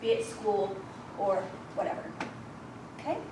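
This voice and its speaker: A woman talks with an American accent. There is audible room echo and noticeable background noise. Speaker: volunteer trainer. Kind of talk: training presentation. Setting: room with audience. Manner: fast.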